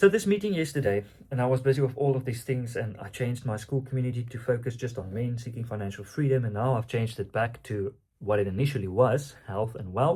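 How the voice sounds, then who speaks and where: Somewhat breathy, a man speaks at a very fast pace with an Afrikaans South African accent. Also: medium pitch for a man, ordinary pitch variation. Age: 20s. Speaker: online coach and entrepreneur. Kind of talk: casual vlog monologue. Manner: halting, many fillers.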